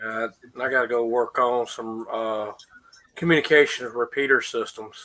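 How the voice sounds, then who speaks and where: Medium in pitch, a man speaks at a moderate pace with fairly even intonation. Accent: Southern US. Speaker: radio communications technician. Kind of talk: casual chat.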